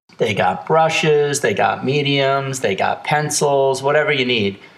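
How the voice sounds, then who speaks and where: A man speaks at a medium pitch and a fairly slow pace. He has a plain, everyday voice. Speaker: podcast host. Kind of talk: casual interview chat. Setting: recorded on cell phones.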